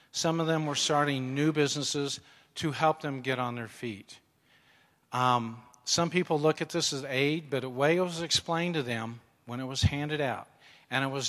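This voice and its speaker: Very clean, with a silent background, this recording has a man with an ordinary speaking voice. He talks at a moderate pace, his fairly high pitch showing ordinary variation. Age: 60s. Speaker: mission trip volunteer. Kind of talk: testimony. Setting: church.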